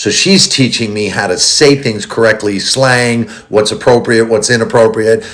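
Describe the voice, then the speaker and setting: A man with a New York accent speaks at medium pitch with ordinary pitch variation. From New York, the Bronx. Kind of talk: casual chat.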